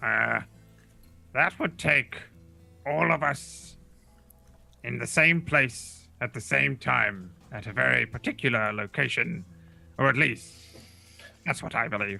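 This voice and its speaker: Putting on a character voice, a man speaks at a fairly slow pace and medium pitch with long, frequent pauses, as faint music plays in the background. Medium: actual play. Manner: condescending, dry.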